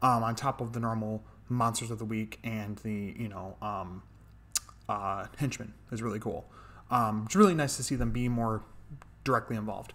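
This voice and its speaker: A man with fairly even intonation and long, frequent pauses. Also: moderate pace. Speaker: show reviewer. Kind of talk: casual episode review commentary. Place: home room. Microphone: studio mic.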